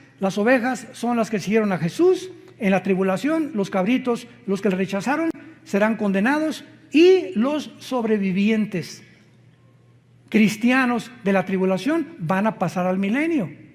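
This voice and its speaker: Fairly slow in pace, a man speaks with lively intonation. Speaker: preacher. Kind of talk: sermon.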